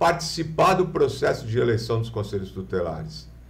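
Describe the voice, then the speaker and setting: A man's voice with audible room echo. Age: 50s. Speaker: businessman and lawyer. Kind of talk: interview on a live podcast. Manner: halting, many false starts.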